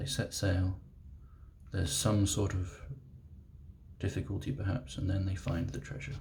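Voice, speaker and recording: Soft-spoken and somewhat breathy, a man with a very deep, low pitch and a British accent talks in a gentle tone at a moderate pace, with lively intonation and long, frequent pauses. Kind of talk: ASMR reading aloud of a childhood picture book. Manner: soft-spoken, gentle.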